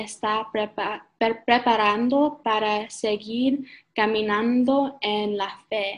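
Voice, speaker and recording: The speaker talks very slowly with a non-native accent and fairly even intonation. The background is quiet. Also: woman. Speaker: church intern. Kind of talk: sermon. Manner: halting.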